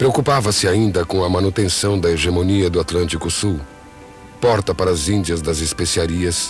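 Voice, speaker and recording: Music plays in the background as a man talks at a moderate pace. His pitch is very deep and low, with ordinary variation. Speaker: narrator. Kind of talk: poetic documentary narration.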